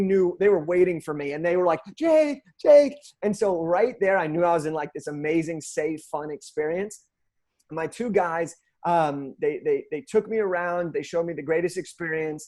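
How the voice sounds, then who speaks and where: An energetic man speaks with an American accent. His high pitch moves with ordinary variation. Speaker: motivational speaker. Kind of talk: interview. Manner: fast.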